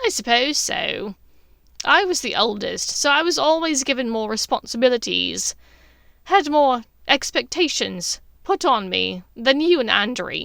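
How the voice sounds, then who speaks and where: In a very clean recording with a silent background, a woman uses a put-on character voice, high-pitched and at a moderate pace. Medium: read story. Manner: sharp, probing.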